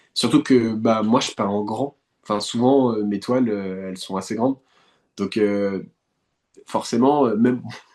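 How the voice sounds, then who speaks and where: The pace is fairly slow, with long, frequent pauses. Intonation stays fairly even. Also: man, medium pitch for a man, quiet background. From France, west of Paris (Eure-et-Loir, countryside). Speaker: painter. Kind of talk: interview conversation. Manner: hesitant, many fillers and repetitions.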